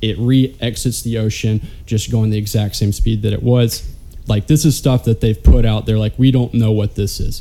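With music playing in the background, a man with a Southern US accent speaks at a moderate pace, using a medium pitch and fairly even intonation. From Alabama. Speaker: podcast co-host. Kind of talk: casual chat.

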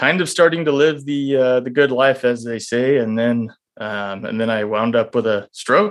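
A man's normal speaking voice at medium pitch, with an American accent, a moderate pace and ordinary pitch variation. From Texas. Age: 30s. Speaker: urologist and stroke survivor. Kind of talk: interview storytelling.

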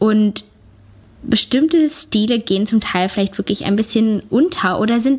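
A woman with a fairly high pitch and a somewhat breathy quality talks at a moderate speed, her pitch varying in an ordinary way. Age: 20s. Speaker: YouTuber and podcaster. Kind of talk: casual personal monologue.

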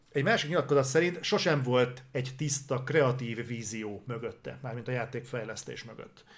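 Somewhat breathy and medium in pitch, a man's voice swings widely in loudness. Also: ordinary pitch variation, moderate pace. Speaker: gaming news show co-host. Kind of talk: casual chat. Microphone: noise gate cutting out his audio.

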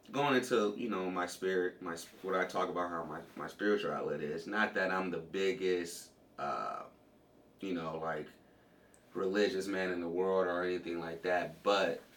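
Amid noticeable background noise and audible room echo, a man with a very deep, low voice talks at a moderate pace with fairly even intonation. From US West Coast, Compton, California. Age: 20s. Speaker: pro MMA fighter and former college wrestler. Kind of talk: casual interview.

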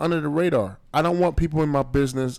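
A man speaks at a very fast pace with a fairly high pitch. The recording is very clean with a silent background. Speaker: podcast host. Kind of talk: casual banter podcast. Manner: profane, casual.

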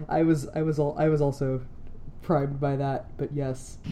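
Noticeable background noise runs through the clip. The speech has long, frequent pauses. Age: 20s. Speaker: podcast host, student. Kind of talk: casual chat.

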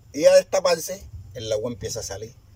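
A man speaks with a Colombian Caribbean accent. His pace is fairly quick. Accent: Colombian Caribbean coastal Spanish. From La Boquilla, Cartagena, Caribbean coast of Colombia. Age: 60s. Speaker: community founder and leader. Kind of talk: testimony. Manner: animated.

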